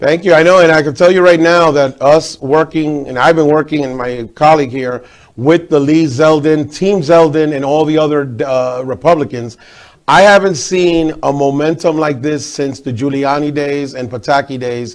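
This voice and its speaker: With a New York accent, a man speaks at a moderate pace. His pitch is fairly high, with ordinary pitch variation. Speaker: TV host. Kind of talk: interview.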